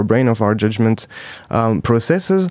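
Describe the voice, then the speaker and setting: Here a man is speaking. He does so with a French accent. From France, Alsace. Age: 20s. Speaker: startup founder. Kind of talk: interview. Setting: studio.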